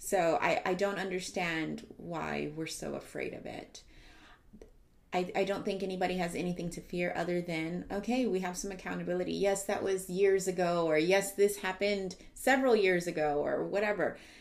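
A woman speaks with an American accent at medium pitch, with vocal fry. Her pace is moderate and her pitch variation ordinary. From US South (San Antonio, Texas). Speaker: nurse. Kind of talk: casual chat.

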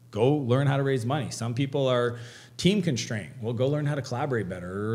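Somewhat breathy and at medium pitch, a man with a Canadian accent speaks with ordinary pitch variation. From Canada. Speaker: entrepreneur and author. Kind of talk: podcast interview.

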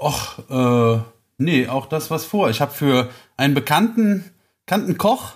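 Somewhat breathy, a man speaks fairly slowly at a fairly high pitch. The recording is very clean and the background silent. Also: lively intonation. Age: 30s. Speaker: carpentry apprentice and guest co-host. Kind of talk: casual chat.

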